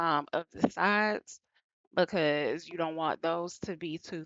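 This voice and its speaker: A woman with an American accent has a fairly low pitch. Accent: Southern US accent, comes and goes. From US South, Atlanta, Georgia. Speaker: beauty vlogger. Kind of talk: tutorial voiceover. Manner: casual, many fillers (um).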